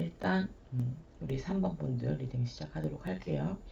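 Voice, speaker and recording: Here a woman talks. Her voice is soft-spoken. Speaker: shaman and tarot reader. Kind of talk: tarot reading for viewers. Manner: soft, low effort, slurred pronunciation.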